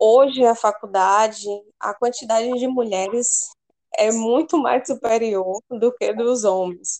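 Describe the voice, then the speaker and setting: Fairly high female voice with ordinary pitch variation. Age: 20s. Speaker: veterinary student. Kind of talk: casual interview.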